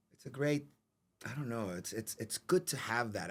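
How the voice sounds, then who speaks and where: A man talks in a New York accent. His pace is fairly quick and his intonation lively. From New York City. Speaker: actor. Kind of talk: interview. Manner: halting, repeats words.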